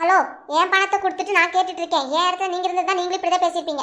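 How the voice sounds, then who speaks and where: A woman does a cartoonish character voice at an extremely high pitch, talking very fast in a flat monotone at very even loudness. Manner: blunt, insistent.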